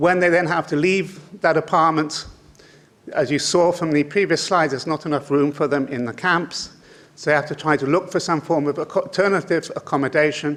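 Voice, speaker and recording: A man talks with a British accent at a fairly quick pace. His pitch is fairly high and his intonation fairly even. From Britain. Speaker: conference speaker on migration. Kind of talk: lecture. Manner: halting, many fillers.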